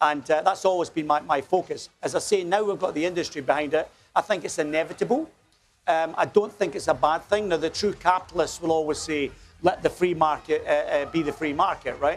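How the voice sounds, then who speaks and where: A man speaks at a fairly quick pace with a Scottish accent. His pitch is high. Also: fairly even intonation. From Scotland, small village. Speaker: company executive. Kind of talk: TV interview. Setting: outdoors at a street festival. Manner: hesitant, many fillers.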